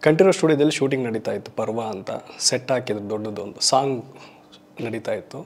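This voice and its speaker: Here is an unremarkable speaking voice from a man with a medium pitch and ordinary pitch variation. His loudness swings widely. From Karnataka, Shivamogga district; Karnataka. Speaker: film makeup artist turned actor. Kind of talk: interview monologue. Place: studio. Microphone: lapel.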